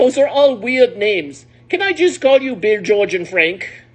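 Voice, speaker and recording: A woman puts on a character voice, pitched high and paced moderately. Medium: read story.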